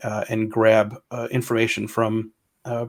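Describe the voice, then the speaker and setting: A man's voice at medium pitch. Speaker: software product specialist presenting a webinar. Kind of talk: technical webinar demo. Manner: fast; halting, many fillers.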